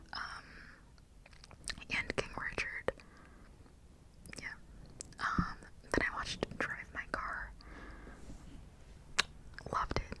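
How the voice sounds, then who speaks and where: Someone whispers at a very slow pace with long, frequent pauses. Noticeable background noise can be heard. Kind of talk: ASMR whisper ramble to camera. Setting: close condenser microphone recording. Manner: whispered, casual, chatty.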